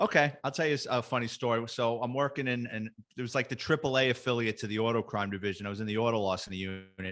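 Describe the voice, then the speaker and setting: Very fast and with hardly any pauses, a man speaks at a medium pitch in a New York accent. His pitch varies in an ordinary way, and the recording is very clean with a silent background. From New York, the Bronx. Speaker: retired police detective. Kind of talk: casual chat, storytelling.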